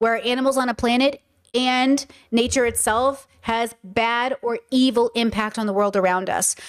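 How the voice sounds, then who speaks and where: Speaking with a Californian accent, a woman keeps a fairly high pitch and fairly even intonation. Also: moderate pace, very clean recording, silent background. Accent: California. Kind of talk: casual livestream commentary.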